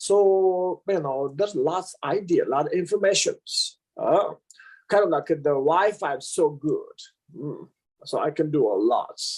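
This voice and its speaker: A man speaks with a Tibetan accent. His pace is fairly slow. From Amdo, eastern Tibet. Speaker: Buddhist teacher. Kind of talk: interview, life story. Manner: halting, many fillers.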